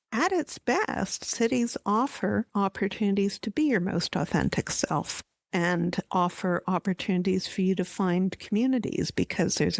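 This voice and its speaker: A woman with a Canadian accent has an unremarkable speaking voice at medium pitch with ordinary pitch variation. She talks at a moderate pace, the sound dry and close with no echo on a very clean recording with a silent background. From Canada (Ontario, Montreal). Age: 60s. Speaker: housing researcher, professor. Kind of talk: interview.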